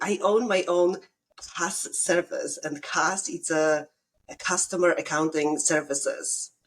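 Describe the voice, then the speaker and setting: Very slowly, a woman with a Polish accent speaks at a fairly low pitch with fairly even intonation. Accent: Polish accent, noticeable. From Poland. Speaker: bookkeeper, business owner. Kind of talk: casual podcast interview. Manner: halting, many fillers and restarts.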